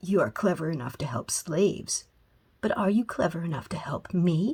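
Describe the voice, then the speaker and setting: A woman puts on a character voice with lively intonation. Her pitch sits fairly low. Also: moderate pace. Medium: read story. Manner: haughty, commanding.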